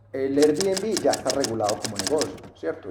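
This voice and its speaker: A man with a paisa accent speaks at a moderate pace in a fairly high voice, with noticeable background noise. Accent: paisa Colombian Spanish. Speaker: real estate investment teacher. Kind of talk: interview, explaining. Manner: hesitant, many fillers.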